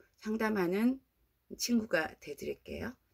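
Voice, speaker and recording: The background is quiet. The speech comes at a very slow pace. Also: woman. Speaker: YouTuber; beginner YouTuber. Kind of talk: vlog talk to camera. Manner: casual, hesitant fillers. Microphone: phone near.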